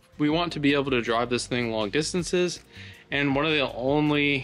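Faint music plays behind a man who speaks at a moderate pace with ordinary pitch variation. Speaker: host. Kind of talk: casual vlog chat. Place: workshop. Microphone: phone near.

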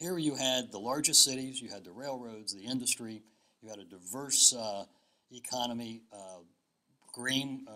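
This man's tone is bright and sharp. He talks at a moderate pace with fairly even intonation. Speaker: historian and guest speaker; guest. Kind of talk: lecture. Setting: stage with audience. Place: hall. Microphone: podium.

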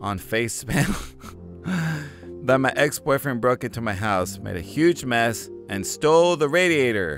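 Clear music plays behind a man speaking at a moderate pace. The sound is dry, with no echo. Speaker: gaming commentator. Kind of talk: commentary. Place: home room.

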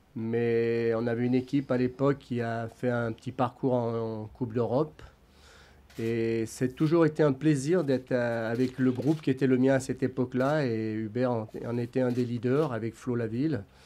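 The man has a dark, mellow tone. His intonation stays fairly even. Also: moderate pace. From France. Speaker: football club adviser, former coach; former coach. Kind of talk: press conference. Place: meeting room. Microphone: podium.

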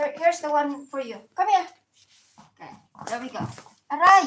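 With a high pitch, a woman speaks with big swings in loudness and long, frequent pauses. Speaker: vlogger, domestic worker. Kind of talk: casual livestream chat while playing with dog. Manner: animated.

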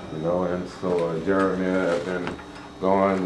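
Light background noise and audible room echo surround a man's very deep, low-pitched voice. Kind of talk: informal explanation. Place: office. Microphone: camera far.

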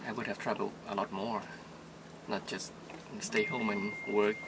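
A man at fairly low pitch with little pitch movement, a moderate pace, and clear background noise

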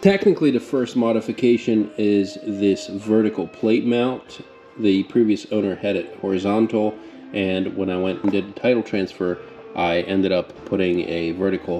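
Faint music plays in the background as a man with a fairly low pitch talks at a moderate pace. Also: ordinary pitch variation. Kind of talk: casual vlog chat. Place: garage. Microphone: phone near.

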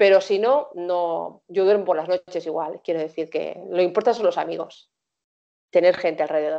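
A woman talks at a fairly quick pace with lively intonation in a dark, mellow tone. The background is quiet. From Spain, Barcelona; Catalonia, Spain. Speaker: singer; interviewee. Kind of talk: interview. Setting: video call. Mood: calm, warm. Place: home room. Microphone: video call.

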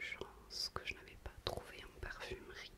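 A soft-spoken woman whispers at a very slow pace. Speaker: beauty vlogger. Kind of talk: casual product review chat. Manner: soft intimate French whisper. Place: bathroom. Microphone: webcam.

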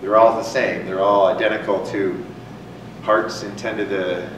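Amid noticeable background noise and audible room echo, a man with a fairly low voice speaks at a moderate pace. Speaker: lecturer. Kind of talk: lecture. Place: hall.

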